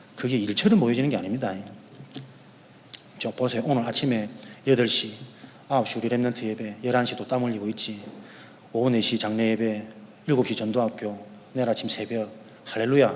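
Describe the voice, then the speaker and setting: Over noticeable background noise and audible room echo, a man speaks at a medium pitch and a fairly quick pace. He takes long, frequent pauses, and his intonation stays fairly even. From Korea, Yeongdo (Busan). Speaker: pastor. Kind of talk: sermon. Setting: church. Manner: fast.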